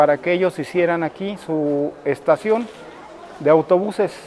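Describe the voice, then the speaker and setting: There is noticeable background noise around a man's high-pitched voice. His pitch varies in an ordinary way. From Cuernavaca, Morelos, Mexico. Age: 60s. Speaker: local resident interviewee. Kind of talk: interview testimony. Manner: hesitant, with filler words.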